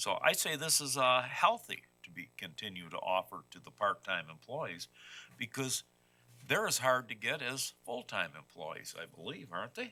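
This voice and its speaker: A man speaks with very wide pitch swings, a bright, sharp tone and vocal fry. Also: medium pitch for a man, moderate pace. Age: 60s. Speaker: committee member, veteran. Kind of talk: committee meeting discussion. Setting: meeting room.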